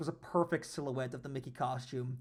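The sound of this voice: The pitch moves in an ordinary way. The delivery is an unforced reading voice.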